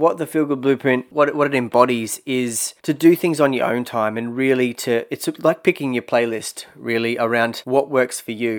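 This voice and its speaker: A man with an Australian accent talks at a moderate pace and medium pitch, with ordinary pitch variation and hardly any pauses. The recording is very clean with a silent background. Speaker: personal growth podcaster. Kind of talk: solo podcast monologue. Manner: casual, hesitant with repetitions.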